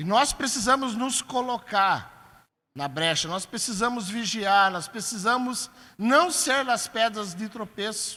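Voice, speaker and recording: A man's raised, projected voice, high-pitched and fairly slow, on a very clean recording with a silent background. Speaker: pastor. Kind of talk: sermon. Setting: church.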